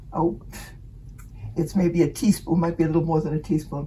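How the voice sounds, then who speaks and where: A woman's fairly low voice against noticeable background noise. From Finnish background. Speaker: home cook. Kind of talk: cooking demonstration. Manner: halting.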